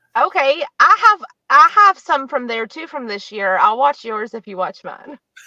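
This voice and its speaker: In a raised, projected voice, a woman with an American accent speaks at a high pitch with very wide pitch swings. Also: moderate pace, big swings in loudness, dry, close sound with no echo. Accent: West Virginia accent, comes out sometimes. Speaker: psychic medium. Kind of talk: casual interview chat. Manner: casual, lots of filler words.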